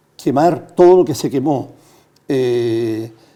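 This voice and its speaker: A man speaks very slowly in a dark, mellow tone. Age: 70s. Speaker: former constitutional convention member, retired journalist. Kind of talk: TV interview.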